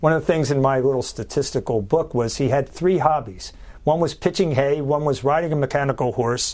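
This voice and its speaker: In a normal speaking voice with an American accent, a man talks fairly quickly at a fairly high pitch, with ordinary pitch variation and very even loudness. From Philadelphia, US. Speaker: journalist and author. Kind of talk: interview.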